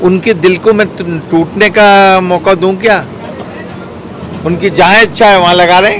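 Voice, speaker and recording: Through noticeable background noise, a man talks in a high pitch with monotone, flat intonation. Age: 60s. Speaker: politician. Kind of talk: interview.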